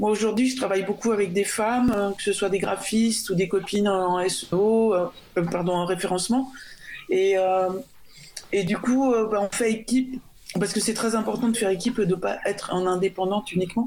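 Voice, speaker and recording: An unremarkable speaking voice belongs to a woman of medium pitch who talks at a moderate pace with fairly even intonation and very even loudness. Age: 50s. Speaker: freelance software developer. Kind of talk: radio panel discussion. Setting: remote call into radio studio.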